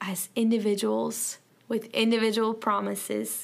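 A woman with a Southern US accent is heard on a very clean recording with a silent background. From US South. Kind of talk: devotional Bible teaching. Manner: informal, halting with fillers.

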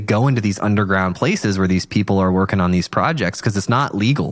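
A man with a fairly low pitch has an ordinary speaking voice. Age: 30s. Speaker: podcast host. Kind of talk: casual interview.

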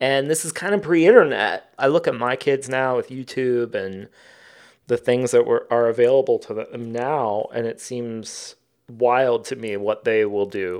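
This man has a plain, everyday voice at medium pitch, with an American accent and ordinary pitch variation. He goes at a fairly slow pace against a quiet background. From US Midwest, southern Ohio. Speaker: author and artist. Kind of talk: interview conversation.

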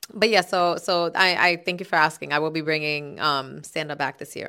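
With a New York accent, a woman speaks at a moderate pace in a fairly low pitch, her tone bright and sharp and her intonation fairly even. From Bronx, New York City (Castle Hill). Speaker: comedian and former podcast co-host. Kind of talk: casual chat.

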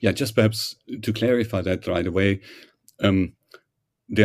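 A man with a German accent and a very deep, low pitch. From Germany. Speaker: professor. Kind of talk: interview. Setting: remote call. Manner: hesitant, frequent fillers.

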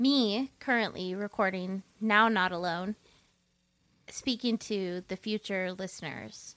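In a very clean recording with a silent background and a dry, close sound with no echo, a woman speaks at a very slow pace and medium pitch. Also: ordinary pitch variation. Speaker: podcast host. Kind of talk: casual chat.

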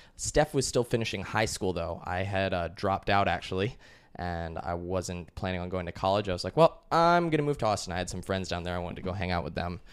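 A man's very deep, low voice at a very fast pace. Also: ordinary pitch variation, hardly any pauses, very clean recording, silent background. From US, Colorado. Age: 20s. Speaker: business owner and digital nomad. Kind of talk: casual interview.

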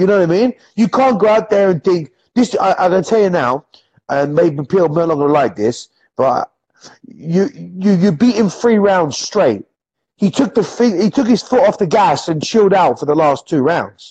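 Speaking in a high voice with lively intonation, a man keeps his loudness very even in a dry, close sound with no echo. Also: moderate pace. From England, near London. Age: 30s. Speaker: former MMA fighter and coach. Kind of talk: casual chat.

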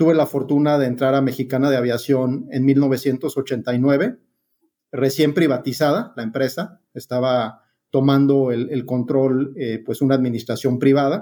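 Delivered at a fairly slow pace, the voice has a dark, mellow tone and fairly even intonation. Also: man, medium pitch for a man. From Mexico City. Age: 60s. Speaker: aviation consultant. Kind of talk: interview.

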